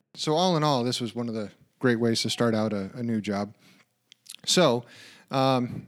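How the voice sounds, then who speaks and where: A man with a normal speaking voice at a medium pitch, ordinary pitch variation and a fairly quick pace, in a very clean recording with a silent background. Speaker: podcast co-host and project manager. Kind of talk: casual conversational podcast chat.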